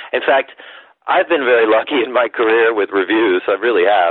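A man at a fairly quick pace. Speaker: jazz singer and recording artist. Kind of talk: interview. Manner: animated.

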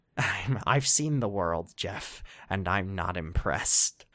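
A very slow, put-on character voice from a man, pitched fairly low. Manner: menacing.

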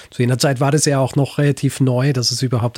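Breathing somewhat audibly, a man with a slight Vorarlberg accent speaks at a medium pitch in a flat monotone, the sound dry and close without echo. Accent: slight Vorarlberg tinge. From Austria, Vorarlberg (born in Graz). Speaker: historian and podcaster. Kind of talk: interview.

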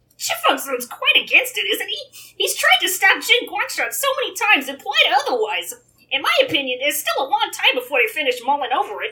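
In a put-on character voice, the speaker goes at a fairly quick pace, extremely high in pitch with very wide pitch swings. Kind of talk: comic read-aloud character voice. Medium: read story. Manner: knowing, conversational.

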